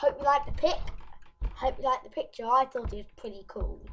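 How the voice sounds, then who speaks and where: With a British accent, a woman speaks in a high voice with lively intonation. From UK. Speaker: YouTuber. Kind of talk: casual informational video. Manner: halting, self-correcting.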